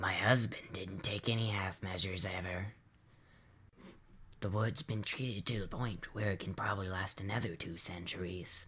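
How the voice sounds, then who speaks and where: Putting on a character voice, a man speaks at a moderate pace in a fairly low pitch that sounds hoarse, raspy and wheezy. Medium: read story. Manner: slow, dry humor.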